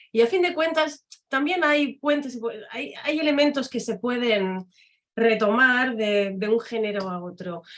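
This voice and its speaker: A woman speaks with a French accent at a fairly slow pace. Her voice is high, with lively intonation. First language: French (speaking Spanish). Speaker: academic and literary translator. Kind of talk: conference talk.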